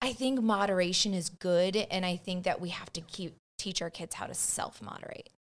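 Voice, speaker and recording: In a plain, everyday voice, a woman speaks with an American accent at a medium pitch and a moderate pace. She has ordinary pitch variation and hardly any pauses. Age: 40s. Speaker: podcast guest, mother. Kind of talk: casual chat.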